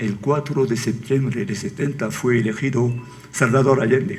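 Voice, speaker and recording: Audible room echo surrounds a man speaking at a fairly slow pace with a French accent. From France. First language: French (speaking Spanish). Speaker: book author. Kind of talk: book presentation talk. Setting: auditorium with audience. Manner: halting.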